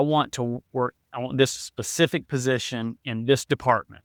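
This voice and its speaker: A man with a medium pitch is heard in a dry, close sound with no echo. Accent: American. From South Carolina, Florence. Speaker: real estate investor. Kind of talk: interview. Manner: fast, rambling.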